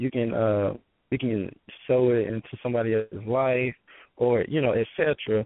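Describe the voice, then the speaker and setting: A man with an American accent, medium-pitched, at a moderate pace. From Georgia, US South. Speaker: author and business speaker. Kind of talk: interview, sharing wisdom.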